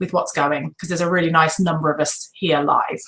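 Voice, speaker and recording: The speaker is a woman. She has a British accent. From Britain. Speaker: online business coach. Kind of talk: live webinar training. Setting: live video webinar. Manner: animated.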